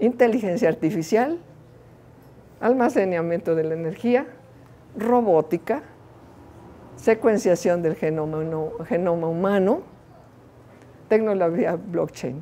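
A woman's dark, mellow tone with lively intonation, long and frequent pauses, and light background noise. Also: medium pitch for a woman, fairly slow pace. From Mexico, Veracruz. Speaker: engineering researcher; invited lecturer. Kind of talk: lecture. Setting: stage with audience. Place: hall.

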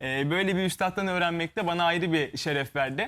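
The very clean recording, with a silent background, captures a man speaking with ordinary pitch variation. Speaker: musician. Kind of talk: interview.

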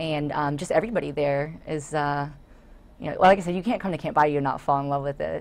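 A woman with an American accent talks at a very fast pace, broken by long, frequent pauses. Her pitch is very deep and low, with ordinary variation. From Florida, South Hillsborough County; Florida. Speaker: nature center volunteer and board member; guest. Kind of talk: interview. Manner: hesitant with many fillers. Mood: warm, enthusiastic. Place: studio. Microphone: lapel.

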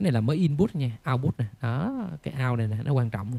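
A man speaks at a medium pitch. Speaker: audio equipment seller. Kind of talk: tutorial. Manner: animated.

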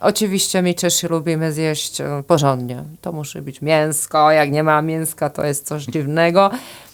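Speaking at a moderate pace with hardly any pauses, a woman with a Czech accent has a very deep, low pitch and fairly even intonation. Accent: Czech accent in Polish, rolled R. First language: Czech (speaking Polish). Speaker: tourism agency director. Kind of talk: interview. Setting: studio.

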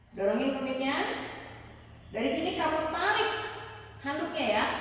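A woman is speaking. Strong room echo surrounds her voice. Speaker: yoga instructor. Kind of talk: exercise instruction with counting. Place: home room. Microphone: camera far.

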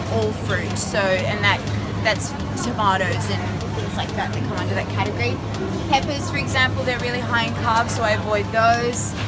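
Clear music plays behind the speaker. She is a woman talking at a moderate pace. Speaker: vlogger. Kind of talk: casual vlog chat. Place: shop. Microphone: phone near.

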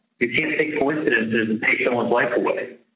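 A man's voice with audible room echo. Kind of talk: casual phone conversation. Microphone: phone line.

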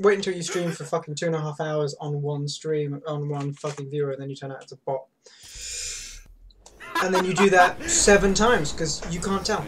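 In a British accent, a man with a fairly high pitch talks at a moderate pace with ordinary pitch variation and big swings in loudness, over noticeable background noise. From Britain. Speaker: streamer playing a co-op puzzle game. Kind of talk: casual gaming commentary. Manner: bossy, directive, swears a lot. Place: home room. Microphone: headset.

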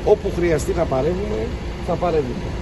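Over loud background noise, a man speaks at a fairly quick pace. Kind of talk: press statement. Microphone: handheld.

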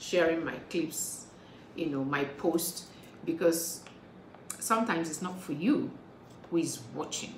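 Noticeable background noise surrounds a woman speaking at a fairly slow pace. Her pitch is fairly low, with ordinary pitch variation. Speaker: motivational speaker. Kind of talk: casual vlog talk. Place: home room. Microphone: phone near.

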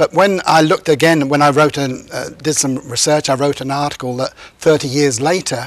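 Here a man speaks with a British accent and a fairly high pitch. His pace is fairly quick, his intonation fairly even, and the sound is dry with no echo. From England. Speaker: criminal justice professor, former police officer. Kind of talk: interview answer. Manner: hesitant, many fillers. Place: studio. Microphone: lapel.

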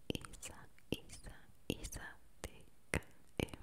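Whispering, a woman speaks at a very slow pace. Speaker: ASMR creator. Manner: intimate whisper repeating a name. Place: home room. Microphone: studio mic.

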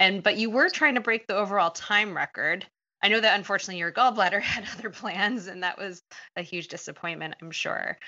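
A woman speaks in a normal speaking voice at a fairly quick pace. Her pitch is medium with ordinary variation, and her loudness swings widely. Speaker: podcast host, dietitian and running coach. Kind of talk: podcast interview.

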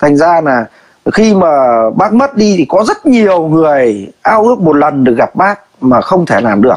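At a fairly slow pace over a quiet background, the voice holds a very even loudness while making very wide pitch swings. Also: man, high pitch for a man. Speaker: livestream commentator. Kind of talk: heated debate. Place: home room. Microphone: phone near.

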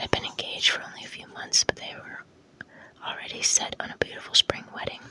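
Soft-spoken and whispering, the speaker goes at a fairly quick pace in a dry sound with no echo and light background noise. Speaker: reader of a novel. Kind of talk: audiobook-style read-aloud. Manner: soft ASMR whisper reading narration. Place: home room.

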